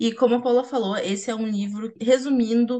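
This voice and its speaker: At a moderate pace, an unremarkable speaking voice is heard. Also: woman. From Rio Grande, Rio Grande do Sul, Brazil. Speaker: podcast host, journalist. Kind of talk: casual chat.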